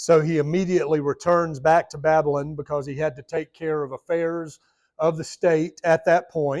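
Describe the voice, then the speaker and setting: A man speaks with a Southern US accent in a monotone, flat intonation. The sound is dry and close, with no echo. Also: fairly high pitch for a man, moderate pace, big swings in loudness. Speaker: Bible study teacher. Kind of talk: Bible study lesson. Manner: conversational.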